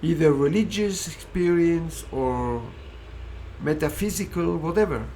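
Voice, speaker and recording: A man speaks at a fairly slow pace. There is audible room echo. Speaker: philosophy speaker. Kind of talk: lecture.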